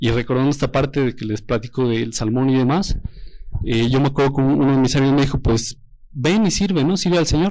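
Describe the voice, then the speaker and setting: Dark and mellow in tone, a man's voice sits at a medium pitch with ordinary pitch variation. He talks at a fairly quick pace. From Mexico, Toluca. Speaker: engaged churchgoer giving testimony. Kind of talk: testimony.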